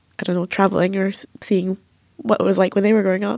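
Very fast and with a dark, mellow tone, a woman speaks in an Edinburgh accent at medium pitch with fairly even intonation. The recording is very clean, with a silent background. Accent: Edinburgh Scottish. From Edinburgh, Scotland. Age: 30s. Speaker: journalist and author. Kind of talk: roundtable discussion.

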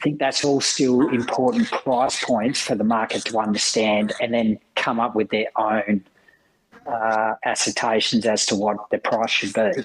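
In an Australian accent, a man speaks at medium pitch and a fairly slow pace, with very even loudness and fairly even intonation. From Western Australia (rural, Lake King). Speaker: managing director of a grain exchange. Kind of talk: casual interview chat.

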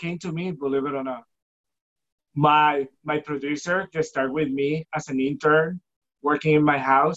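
A man with a Spanish accent talks at a moderate pace, his pitch fairly high and intonation fairly even. He leaves long, frequent pauses. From Puerto Rico. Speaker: filmmaker. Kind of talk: interview. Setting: video call.

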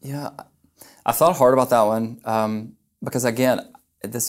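In an American accent, a man with a plain, everyday voice speaks at medium pitch with fairly even intonation on a very clean recording with a silent background. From US South, Memphis, Tennessee. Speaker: entrepreneur. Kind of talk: casual chat.

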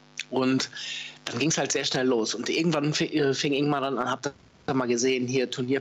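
Noticeable background noise sits under this recording. A man speaks at a medium pitch and a fairly quick pace. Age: 40s. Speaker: paintball player and former stream commentator. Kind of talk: casual interview.

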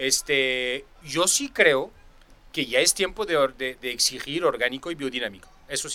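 A man's fairly high, bright, sharp voice with a French accent, at a fairly slow pace with ordinary pitch variation. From France. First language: French (speaking Spanish). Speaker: sommelier. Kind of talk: casual chat.

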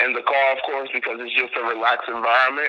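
Noticeable background noise sits behind the recording. A man speaks at a medium pitch. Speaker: DJ and entertainer. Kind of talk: casual interview chat.

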